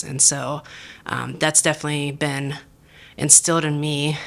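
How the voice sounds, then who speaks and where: This woman with an American accent has a very deep, low pitch and speaks at a moderate pace with monotone, flat intonation. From southwestern Pennsylvania. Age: 40s. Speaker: restaurant general manager. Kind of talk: podcast interview.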